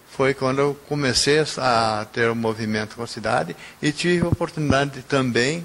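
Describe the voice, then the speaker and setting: A man with a medium pitch keeps a moderate pace and ordinary pitch variation while noticeable background noise plays behind him. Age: 70s. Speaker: retired railway station master. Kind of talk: testimony.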